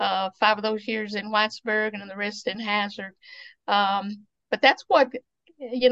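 In an Appalachian accent, a woman with a fairly high voice speaks at a fairly slow pace. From Eastern Kentucky. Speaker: museum founder and author. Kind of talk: casual interview.

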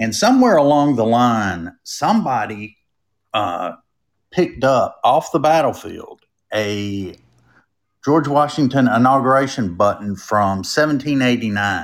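On a very clean recording with a silent background, a man with a North Carolina accent speaks at a fairly slow pace, with medium pitch and lively intonation. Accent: Southern US, North Carolina. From North Carolina, Durham. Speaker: creator of a roadside travel page. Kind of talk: casual interview.

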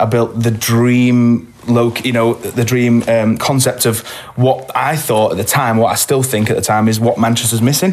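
An ordinary speaking voice at a moderate pace, with very even loudness, hardly any pauses and fairly even intonation. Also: man, medium pitch for a man. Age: 20s. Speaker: singer and venue owner. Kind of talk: casual chat.

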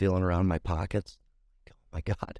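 On a very clean recording with a silent background and a dry, close sound without echo, a man speaks at a fairly quick pace in a very deep, low pitch. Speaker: recovering addict sharing his story. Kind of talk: testimony. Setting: makeshift home podcast booth.

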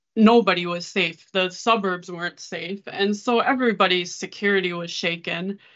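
A plain, everyday voice speaks with an American accent at a fairly slow pace. The intonation stays fairly even. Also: woman. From Minnesota. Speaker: charity ministry worker. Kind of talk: testimony.

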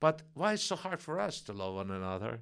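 At a moderate pace, a man with a Russian accent swings very widely in pitch, on a very clean recording with a silent background. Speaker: preacher at Messianic congregation. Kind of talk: sermon. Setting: church congregation.

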